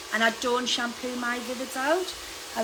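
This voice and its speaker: A woman speaks at a fairly slow pace. There is audible room echo and noticeable background noise. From UK. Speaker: hairdresser. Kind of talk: live tutorial.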